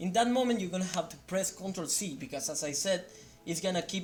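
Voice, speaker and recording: The speaker has a non-native accent and a fairly quick pace. Music plays in the background. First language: not English. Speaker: software developer. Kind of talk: tutorial. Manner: halting; unrehearsed.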